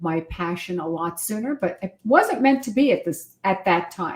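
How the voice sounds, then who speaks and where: A woman speaks at a moderate pace in a plain, everyday voice with medium pitch. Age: 60s. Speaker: wedding officiant. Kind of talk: interview.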